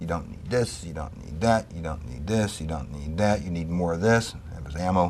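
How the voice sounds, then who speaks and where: Speaking with hardly any pauses, a man uses a very deep, low pitch and ordinary pitch variation amid audible room echo. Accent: American. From New York City, Bronx. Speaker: Vietnam war veteran. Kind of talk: interview testimony.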